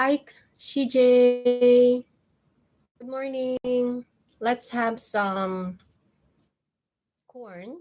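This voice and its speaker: A woman with a Filipino accent speaks at a high pitch with fairly even intonation. Her delivery is very slow, with long, frequent pauses, in a dry, close sound with no echo. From Philippines. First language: Filipino (Tagalog). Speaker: vlogger. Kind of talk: live stream chat with viewers. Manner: casual, conversational.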